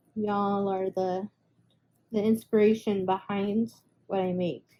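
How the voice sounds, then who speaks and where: A woman of medium pitch speaks fairly slowly with fairly even intonation. Her tone is dark and mellow, and somewhat breathy. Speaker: resin artist and small craft seller. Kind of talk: casual craft video reveal. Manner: hesitant, many fillers.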